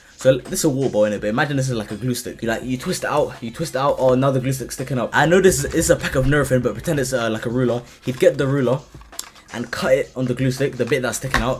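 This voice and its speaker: With a London accent and an animated tone, someone talks very fast over noticeable background noise. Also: man, medium pitch for a man, ordinary pitch variation. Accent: London multicultural English. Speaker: content creator. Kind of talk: casual Q&A vlog.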